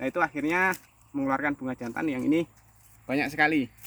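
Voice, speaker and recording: At a very fast pace, a man talks in a bright, sharp tone at a fairly high pitch, with a dry, close sound with no echo. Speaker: oil palm farmer. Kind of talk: casual tutorial vlog. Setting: outdoors in plantation.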